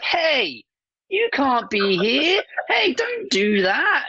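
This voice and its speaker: A put-on character voice sits at a high pitch with very wide pitch swings. It moves at a very slow pace. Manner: whiny.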